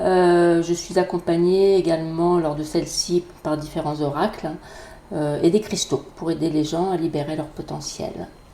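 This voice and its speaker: A woman's fairly low voice, fairly slow, with fairly even intonation and noticeable background noise. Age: 50s. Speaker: energy therapist and Reiki teacher. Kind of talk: podcast self-introduction.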